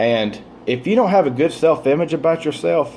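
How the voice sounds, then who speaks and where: A man is speaking against noticeable background noise. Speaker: author and motivational vlogger. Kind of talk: motivational talk to camera. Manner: fast; stumbles over words.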